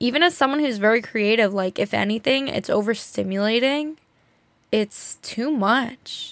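This woman has an ordinary speaking voice with an American accent and a fairly high pitch. She talks at a moderate pace with ordinary pitch variation. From New Jersey. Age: 20s. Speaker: podcast host. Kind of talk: casual solo talk. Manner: talkative, filler-heavy.

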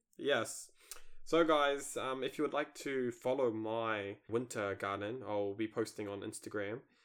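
With a New Zealand accent, a man speaks at a fairly slow pace and medium pitch, with ordinary pitch variation. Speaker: gardening podcast host. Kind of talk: casual chat.

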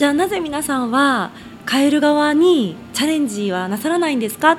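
With noticeable background noise around her, a woman talks at a moderate pace, her pitch swinging very widely. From Tokyo, Koto ward. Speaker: local politician. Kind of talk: radio interview. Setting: radio studio.

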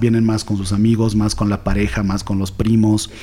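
A man speaks at a fairly quick pace in a fairly low pitch. His intonation is monotone and flat. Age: 40s. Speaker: entrepreneur, escape room owner. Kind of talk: interview.

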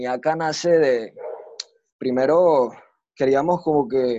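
A man with a Venezuelan accent, fairly high in pitch, with ordinary pitch variation. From Venezuela, Maracay. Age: 20s. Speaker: freestyle rapper. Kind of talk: casual interview.

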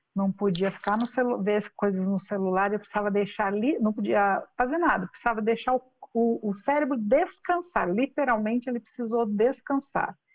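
Using a plain, everyday voice, a woman speaks with a fairly high pitch and ordinary pitch variation. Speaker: business executive and founder. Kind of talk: interview.

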